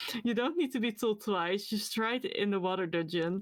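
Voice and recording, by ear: This clip features someone reading aloud in a natural voice. The text is read straight through.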